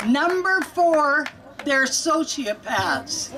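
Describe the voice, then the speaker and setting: Noticeable background noise runs under a woman whose pitch varies in an ordinary way. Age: 70s. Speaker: patient advocate. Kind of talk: rally speech. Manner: animated.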